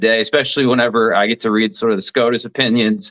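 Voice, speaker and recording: A man with a slight Southern US accent talks at a very fast pace. His pitch is medium, with ordinary pitch variation. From southeast Alabama (Dothan). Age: 40s. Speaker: radio talk show host, former lawyer. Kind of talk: interview.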